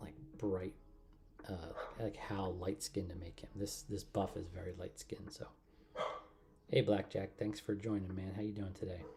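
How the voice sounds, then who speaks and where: Speaking at a moderate pace with long, frequent pauses, a man with a very deep, low pitch sounds relaxed and somewhat breathy, his dark, mellow tone held in fairly even intonation. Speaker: miniature painting streamer. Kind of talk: live stream tutorial. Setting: home livestream. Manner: relaxed, meandering; quiet at times.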